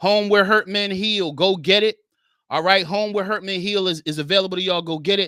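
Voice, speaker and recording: A man projects a raised voice with a bright, sharp tone, a high pitch and fairly even intonation. He moves at a fairly quick pace on a very clean recording with a silent background. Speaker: podcast host and author; men's Bible study teacher. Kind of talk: live stream chat. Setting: live stream. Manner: fast, rushing.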